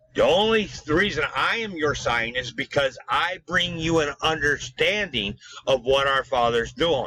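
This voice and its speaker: The intonation stays lively throughout. The pace is moderate. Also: man. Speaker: self-styled religious preacher. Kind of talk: sermon with scripture reading. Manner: hesitant with fillers and restarts.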